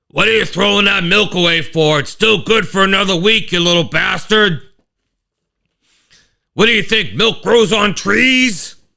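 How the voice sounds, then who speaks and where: A man puts on a raspy character voice with a high pitch and very even loudness. He goes at a moderate pace, with long, frequent pauses. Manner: gruff, scolding.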